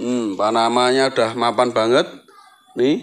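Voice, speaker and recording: A man is speaking here. His tone is cheerful. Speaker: plant seller. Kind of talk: street-market sales pitch listing plants and prices. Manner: repetitive, hawking each item twice with 'murah meriah' cheerful calls. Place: garden. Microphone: phone near.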